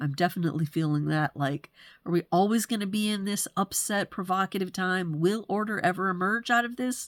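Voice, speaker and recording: Recorded very cleanly against a silent background, dry and close with no echo, a woman with an unremarkable speaking voice talks at a moderate pace and medium pitch with ordinary pitch variation. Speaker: human design astrology presenter. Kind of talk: solo forecast monologue. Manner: casual, with fillers.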